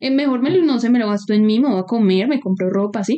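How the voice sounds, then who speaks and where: A woman speaks with lively intonation. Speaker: podcast co-host. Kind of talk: casual chat. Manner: animated.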